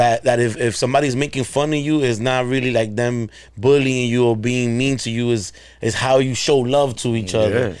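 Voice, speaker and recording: A man in a Spanish accent speaks at a fairly quick pace with a medium pitch and fairly even intonation. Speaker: podcast host. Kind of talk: casual chat. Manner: halting, many repetitions and fillers.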